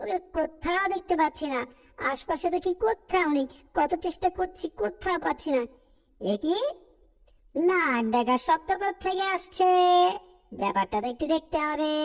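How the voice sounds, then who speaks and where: A woman puts on a cartoonish character voice at an extremely high pitch. She speaks at a moderate pace. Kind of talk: cartoon dub acting. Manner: lively, chatty.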